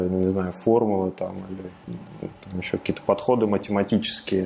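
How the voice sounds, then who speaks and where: This man has a fairly low voice with a dark, mellow tone. His intonation stays fairly even. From Russia, Ramenskoye, Moscow region. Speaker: founder of an online programming school. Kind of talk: casual interview.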